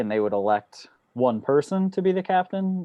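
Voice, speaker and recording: This voice has an American accent and a moderate pace. The pitch swings very wide. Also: man. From US. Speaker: student of underwater archaeology. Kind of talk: casual Q&A talk. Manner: relaxed, informal.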